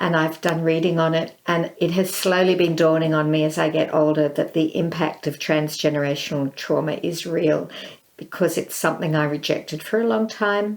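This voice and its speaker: With an Australian accent, a woman speaks at a fairly low pitch and a moderate pace. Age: 60s. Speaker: visual artist and filmmaker. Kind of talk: interview.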